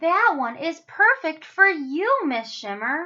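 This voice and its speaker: A woman's put-on character voice at extremely high pitch, with very wide pitch swings and a fairly slow pace. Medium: read story. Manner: warm, gentle.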